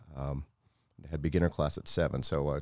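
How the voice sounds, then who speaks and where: In an American accent, a man speaks at a very deep, low pitch with vocal fry. His pace is fairly quick and his intonation fairly even. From Florida. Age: 40s. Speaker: martial arts instructor. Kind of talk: casual interview.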